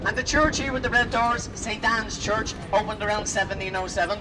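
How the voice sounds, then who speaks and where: Someone with a Dublin accent talks at a very fast pace over noticeable background noise. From Ireland, north side of Dublin. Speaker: tour guide. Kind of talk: guided tour commentary. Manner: animated.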